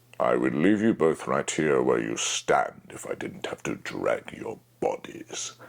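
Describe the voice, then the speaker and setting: A man puts on a character voice. He talks at a fairly slow pace with hardly any pauses. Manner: menacing, threatening.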